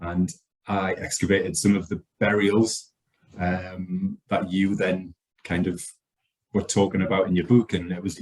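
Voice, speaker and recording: A man in a northeast English accent, very deep and low in pitch, with fairly even intonation, a fairly slow pace and long, frequent pauses. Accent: northeast England. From northeast England. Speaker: archaeologist. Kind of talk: casual chat.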